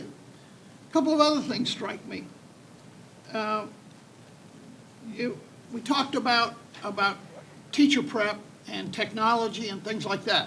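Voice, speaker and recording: A man with a high pitch and ordinary pitch variation uses a raised, projected voice, his loudness swinging widely. He moves at a fairly slow pace with long, frequent pauses. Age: 70s. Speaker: state legislator. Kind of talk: panel discussion.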